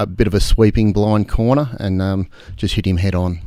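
A man with an Australian accent and a dark, mellow tone speaks at a moderate pace. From Australia, Albury region. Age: 50s. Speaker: off-road motorcycle racer and business owner. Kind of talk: casual interview.

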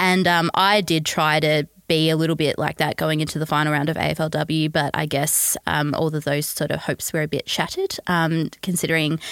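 A woman's very deep, low voice in an Australian accent, monotone and flat at a moderate pace, in a very clean recording with a silent background and a dry, close sound with no echo. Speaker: football writer and fan. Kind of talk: casual chat. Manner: soft-spoken when angry.

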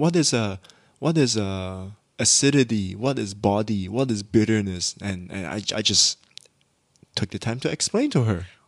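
Moving at a moderate pace, a man with an unremarkable speaking voice talks at a fairly low pitch with ordinary pitch variation. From Malaysia. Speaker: podcast co-host. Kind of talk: casual chat.

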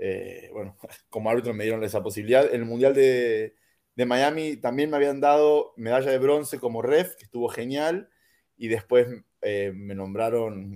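In a very clean recording with a silent background, a man speaks at a moderate pace with a medium pitch, ordinary pitch variation and a dark, mellow tone. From Argentina. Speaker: American football referee and coach. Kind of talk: casual interview.

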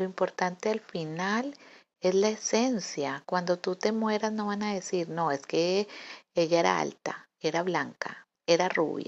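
Pitch varies in an ordinary way. The delivery is very slow. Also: woman. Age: 40s. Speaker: podcaster. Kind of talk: reflective monologue. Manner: halting.

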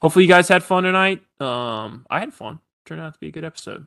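Talking at a very fast pace, a man uses a high pitch. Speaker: sports podcast host. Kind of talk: casual chat. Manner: halting, filler-heavy.

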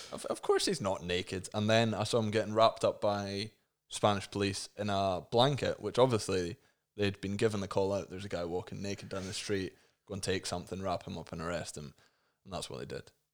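An unremarkable speaking voice comes through at a fairly quick pace with fairly even intonation and big swings in loudness, on a very clean recording with a silent background. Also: man, fairly low pitch for a man. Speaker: podcast host. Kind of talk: casual comedic chat. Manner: joking, irreverent.

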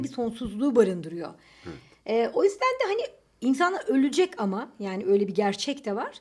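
Pitch swings very widely as the words come at a moderate pace. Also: woman. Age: 30s. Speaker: podcast co-host. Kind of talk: casual chat. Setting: home recording.

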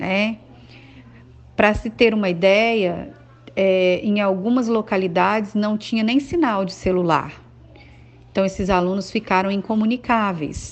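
Long, frequent pauses break up this woman's fairly slow speech. Her pitch is medium, with ordinary variation. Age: 40s. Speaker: schoolteacher. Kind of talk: testimony. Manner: hesitant, with filler sounds.

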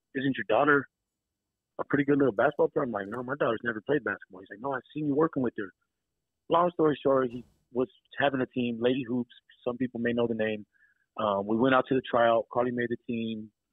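Speaking very fast yet with long, frequent pauses, a man with an American accent keeps his intonation fairly even. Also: medium pitch for a man. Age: 30s. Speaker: teacher and basketball coach. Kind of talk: casual chat. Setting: phone call.

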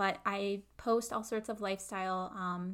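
With a US Midwestern accent, a woman at medium pitch speaks in fairly even intonation. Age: 20s. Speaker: podcast host and content creator. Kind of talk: solo podcast intro monologue.

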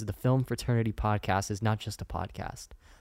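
Over a very clean recording with a silent background, a man with a Californian accent speaks at a moderate pace in a fairly low pitch. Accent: Californian American. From Northern California, Sacramento. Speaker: podcast host, student filmmaker. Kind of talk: solo podcast monologue.

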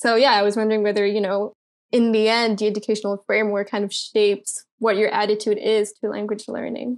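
A fairly high-pitched woman's voice in a monotone, flat delivery. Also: fairly quick pace. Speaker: student volunteer. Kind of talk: casual interview chat.

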